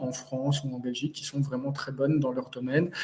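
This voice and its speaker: Somewhat breathy and dark, mellow in tone, a man's voice sits fairly high in pitch with fairly even intonation. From Belgium. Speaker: cybersecurity consultant. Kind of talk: webinar presentation. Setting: live webinar.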